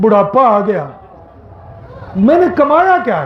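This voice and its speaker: A man's voice makes very wide pitch swings amid audible room echo and noticeable background noise. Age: 60s. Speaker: Islamic preacher, professor. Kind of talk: Eid sermon. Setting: outdoor Eid prayer ground with congregation. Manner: emotional, impassioned.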